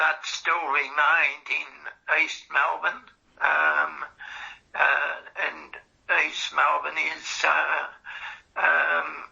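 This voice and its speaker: Someone with an Australian accent talks at a very slow pace. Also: long, frequent pauses. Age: 80s+. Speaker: cancer patient in a research interview. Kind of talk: interview. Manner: halting, many fillers.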